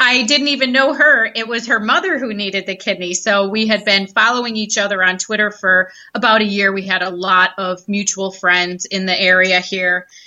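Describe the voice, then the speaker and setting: Speaking with an American accent, a woman uses a plain, everyday voice at a medium pitch and ordinary pitch variation. She keeps a moderate pace with hardly any pauses. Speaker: social media consultant. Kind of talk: casual interview.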